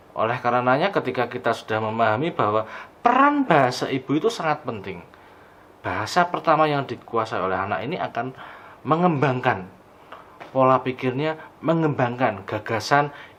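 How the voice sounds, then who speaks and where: Moderate pace from a man, medium in pitch, with ordinary pitch variation. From Banjarnegara, Central Java, Indonesia. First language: Javanese (Banyumasan dialect) (speaking Indonesian). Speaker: lecturer. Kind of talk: lecture.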